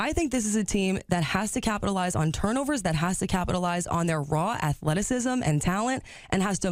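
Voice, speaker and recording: Using a plain, everyday voice, a woman speaks at a fairly quick pace and medium pitch with lively intonation in a very clean recording with a silent background. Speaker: sports director and anchor. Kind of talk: on-air sports analysis.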